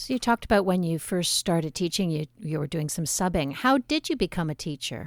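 A woman with a Canadian accent has an ordinary speaking voice and a fairly low pitch. She talks at a fairly quick pace with lively intonation, in a dry, close sound with no echo. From Montreal, Quebec. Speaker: podcast host. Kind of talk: casual interview. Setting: video call.

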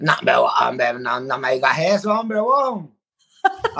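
A man with a high pitch uses a raised, projected voice with a bright, sharp tone and very wide pitch swings. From Mexico, Guadalajara (born in El Salvador). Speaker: marriage counselor and coach. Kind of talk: interview.

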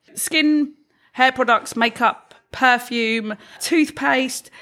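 A woman's bright, sharp tone comes through in a very clean recording with a silent background. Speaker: podcast co-host. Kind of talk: casual chat.

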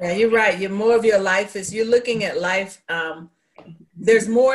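This woman has an ordinary speaking voice. Her pitch is medium, with ordinary pitch variation. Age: 60s. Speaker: guest panelist. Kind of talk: casual group chat. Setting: video call.

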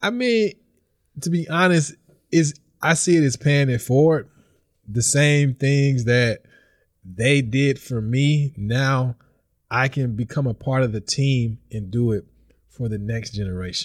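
Very clean recording, silent background, with a man at medium pitch and ordinary pitch variation. He talks at a fairly slow pace with long, frequent pauses. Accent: Mississippi. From Mississippi (Vicksburg). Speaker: visiting professor and PhD candidate. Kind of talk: casual interview.

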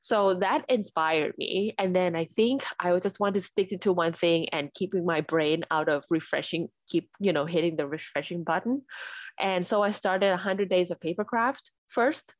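Speaking with a Thai accent, a woman uses a medium pitch, ordinary pitch variation and a moderate pace, in a dry, close sound with no echo on a very clean recording with a silent background. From Thailand. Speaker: UX designer and paper florist. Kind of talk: interview.

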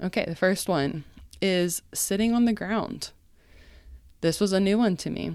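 Speaking at a medium pitch with ordinary pitch variation, a woman moves at a fairly slow pace with long, frequent pauses in a very clean recording with a silent background. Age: 30s. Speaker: podcast host. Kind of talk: casual solo podcast monologue. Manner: conversational, with fillers and self-corrections.

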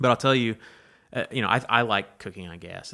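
Recorded very cleanly against a silent background, a man speaks with an Alabama accent in a bright, sharp tone. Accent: Alabama Southern US. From Alabama, Pike County (rural). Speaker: environmental campaigner. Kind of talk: interview conversation. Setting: in person, Troy, Alabama.

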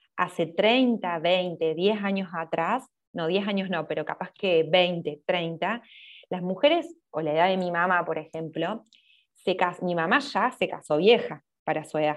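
A woman speaks at a fairly slow pace with a Córdoba Argentine accent, her fairly low pitch moving with ordinary variation. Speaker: social media content creator. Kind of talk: casual interview chat. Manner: talkative.

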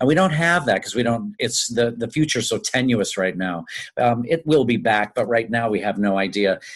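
A man with an American accent talks at a moderate pace in a plain, everyday voice at a medium pitch. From US Midwest, Chicago then Tulsa, Oklahoma. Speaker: stage and screen actor, singer. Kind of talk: interview.

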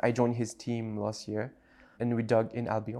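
The recording is very clean, with a silent background. A man with a French accent talks at medium pitch and a moderate pace. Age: 20s. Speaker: writer and religion scholar. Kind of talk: casual interview. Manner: casual, hesitant with fillers.

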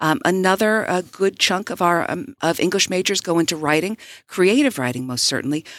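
In a very clean recording with a silent background, a woman at a medium pitch speaks at a fairly quick pace with very wide pitch swings. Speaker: literature professor. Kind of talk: radio interview.

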